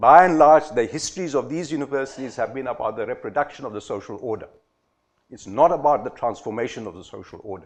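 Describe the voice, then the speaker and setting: Over a quiet background, a man with a medium pitch talks at a very fast pace with lively intonation. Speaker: former university vice-chancellor, conference speaker. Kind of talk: conference talk.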